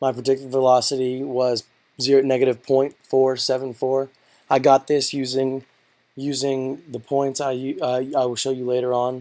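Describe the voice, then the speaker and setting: With a dark, mellow tone, a man at medium pitch talks at a moderate pace in a flat, monotone way. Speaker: physics student. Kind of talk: tutorial. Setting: in his room. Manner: hesitant, many fillers.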